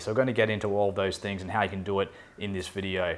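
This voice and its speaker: A man speaks with an Australian accent. His pace is very fast. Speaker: expat relocation adviser. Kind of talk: talking-head explainer video.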